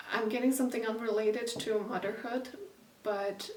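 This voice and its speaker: A woman's fairly high, fairly evenly intoned voice, with audible room echo and noticeable background noise. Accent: non-native. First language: not English. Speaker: intuitive painter and channeler. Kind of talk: casual spoken energy reading while painting. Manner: halting, many fillers; unhurried, with intentional silences.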